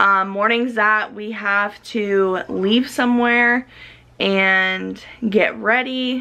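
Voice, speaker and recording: A woman speaks at a very slow pace. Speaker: mom vlogger. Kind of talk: casual vlog chat. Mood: candid, relaxed. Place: kitchen. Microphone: phone near.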